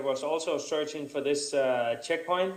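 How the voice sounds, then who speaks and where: Moderate pace and fairly even intonation, with audible room echo. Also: man. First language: not English. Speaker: adventure racer and course designer. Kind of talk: conference presentation. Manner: halting.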